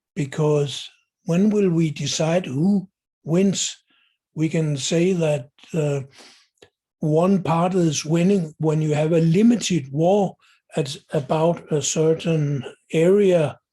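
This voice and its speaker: A man with a dark, mellow tone talks very slowly, leaving long, frequent pauses. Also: fairly high pitch for a man, very even loudness. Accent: Danish. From Denmark. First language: Danish. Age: 70s. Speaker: video blogger. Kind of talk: monologue commentary. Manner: halting with fillers.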